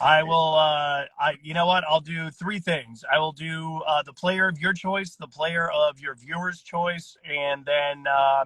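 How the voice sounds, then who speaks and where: A man with an American accent talks at a fairly slow pace, with hardly any pauses and a fairly high pitch. His intonation is fairly even, while his loudness swings widely. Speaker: stadium public address announcer. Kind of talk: casual interview. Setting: phone call from his car.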